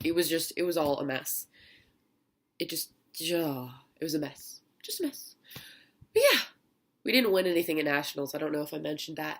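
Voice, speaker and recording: Long, frequent pauses break up this woman's speech. Her pitch is very deep and low, with ordinary pitch variation. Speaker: vlogger. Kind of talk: casual vlog.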